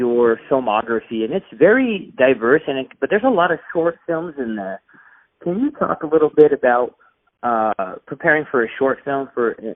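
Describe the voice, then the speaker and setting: A normal speaking voice from a man with an American accent, fairly high in pitch, with lively intonation and a moderate pace. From California. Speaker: film reviewer interviewer. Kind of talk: interview.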